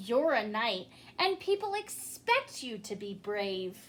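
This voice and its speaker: A woman performs a put-on character voice at a fairly high pitch. She talks at a fairly slow pace. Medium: read story. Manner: soft, timid.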